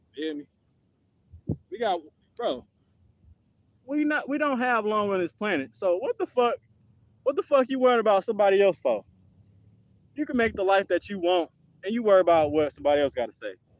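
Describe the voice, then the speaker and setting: A man with a high pitch and very wide pitch swings talks at a fairly quick pace with long, frequent pauses, in a dry, close sound with no echo. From United States. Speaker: fitness streamer. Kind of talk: live stream monologue. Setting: live stream workout. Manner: casual, slangy.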